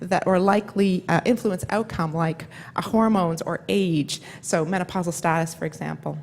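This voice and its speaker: The speaker is a woman. She moves at a fairly quick pace. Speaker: neuroscience professor. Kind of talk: conference lecture. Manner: fast.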